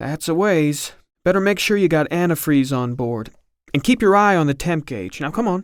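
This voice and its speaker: Using a husky, put-on character voice, a man talks at a moderate pace in a fairly high pitch. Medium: read story. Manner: abrupt, folksy.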